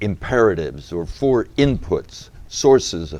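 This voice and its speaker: A man with an American accent talks at a very slow pace and medium pitch. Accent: New England accent with an English dimension. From New England, US (Massachusetts). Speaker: deacon and author. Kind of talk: interview.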